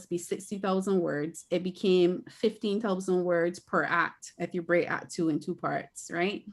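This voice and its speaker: A woman speaks with a Barbadian accent. The recording is very clean, with a silent background. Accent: Barbadian (Bajan). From Barbados. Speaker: author and filmmaker. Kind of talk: interview.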